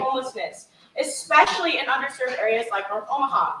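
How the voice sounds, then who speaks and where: A woman speaks in a raised, projected voice. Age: young. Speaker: debate moderator. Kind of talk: moderating questions.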